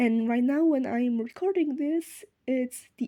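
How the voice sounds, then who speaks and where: In a non-native accent, a woman speaks at a high pitch with a dark, mellow tone, in a dry, close sound with no echo. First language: not English. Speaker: sewing vlogger. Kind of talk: unscripted vlog outro. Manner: halting, many fillers.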